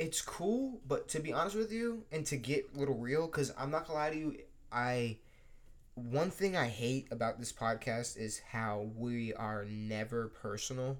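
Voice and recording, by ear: A man at a medium pitch, moderate pace, and ordinary pitch variation.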